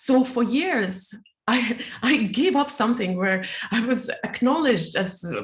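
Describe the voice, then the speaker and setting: Lively in intonation, the speaker talks at a fairly slow pace with a non-native accent. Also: woman, high pitch for a woman. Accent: foreign accent, self-described bizarre. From Soviet Union. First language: not English; English is her third language. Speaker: speaker and teacher. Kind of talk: interview. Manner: halting.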